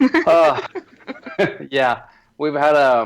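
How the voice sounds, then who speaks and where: Against a quiet background, a man with a Spanish accent speaks in a fairly high pitch with lively intonation. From Mexico, Yucatan. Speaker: comic artist. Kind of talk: interview.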